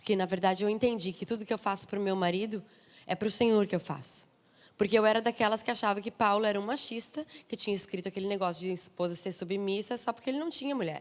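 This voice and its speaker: A woman talks in an animated tone with a southern Brazilian accent. Her pace is very fast and her pitch variation ordinary. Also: medium pitch for a woman. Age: 30s. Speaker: missionary preacher. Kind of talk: sermon.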